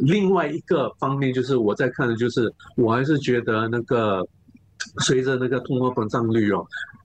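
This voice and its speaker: Moderate pace, ordinary pitch variation and very even loudness. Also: man, medium pitch for a man. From Singapore. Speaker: investment analyst. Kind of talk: interview. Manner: halting, many fillers and repeats; code-switching into English.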